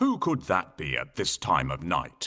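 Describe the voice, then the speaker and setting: Using a growling, put-on character voice, a man speaks at a moderate pace. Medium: cartoon.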